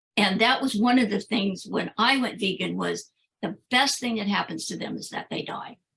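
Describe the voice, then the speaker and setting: This woman has a medium-pitched voice with vocal fry, ordinary pitch variation, and a moderate pace. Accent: American. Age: 70s. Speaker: vegan activist and author. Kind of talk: interview conversation.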